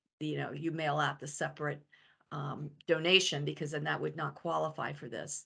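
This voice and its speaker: A woman talks at a fairly quick pace with vocal fry. The background is quiet. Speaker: financial advisor. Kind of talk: webinar presentation. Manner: fast.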